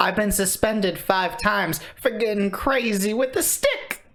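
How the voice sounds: The speaker performs in a put-on character voice, keeping to a moderate pace. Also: female-sounding voice, fairly high pitch for a woman.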